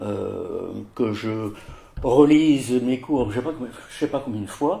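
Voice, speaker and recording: A man speaks at a very slow pace. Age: 60s. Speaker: president of a patient association for OCD. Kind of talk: interview testimony. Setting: at his home. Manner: halting, many hesitations.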